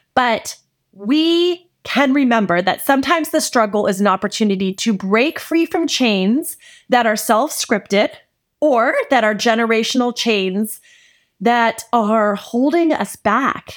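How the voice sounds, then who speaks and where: A woman's normal speaking voice, fairly high in pitch, with lively intonation and a fairly slow pace, on a very clean recording with a silent background. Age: 40s. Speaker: podcast host, faith-based mentor. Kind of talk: solo podcast monologue, devotional teaching. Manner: warm, conversational.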